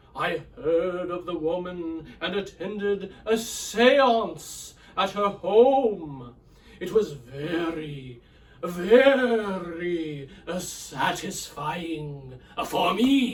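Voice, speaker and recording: The speaker uses a put-on character voice. The pace is very slow and the intonation lively. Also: man, high pitch for a man. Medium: read story. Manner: halting, hesitant, full of pauses.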